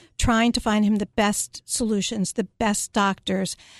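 A woman's normal speaking voice with an American accent, fairly high in pitch, at a fairly slow pace with fairly even intonation, the sound dry and close with no echo over a quiet background. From Philadelphia, US. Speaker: psychotherapist and care management business owner. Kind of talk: radio interview. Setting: radio studio.

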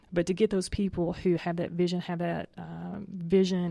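Recorded very cleanly against a silent background, a woman talks at a moderate pace. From Tennessee, US South. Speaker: HR professional guest. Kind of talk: radio interview.

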